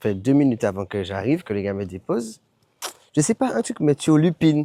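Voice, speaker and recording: Lively intonation in a dark, mellow tone, with a dry, close sound with no echo and a very clean recording with a silent background. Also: man. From Martinique. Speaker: travel vlogger. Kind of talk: travel vlog. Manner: quiet.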